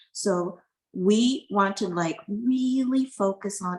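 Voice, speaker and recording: A woman's somewhat breathy voice sits at medium pitch, with ordinary pitch variation. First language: not English. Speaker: university privacy officer. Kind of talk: panel discussion.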